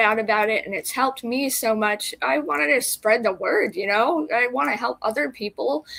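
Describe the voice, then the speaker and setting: At a moderate pace, a woman talks with a fairly high pitch. Vocal fry colors her voice. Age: 40s. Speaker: consumer advocate. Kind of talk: interview testimony. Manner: hesitant, many fillers.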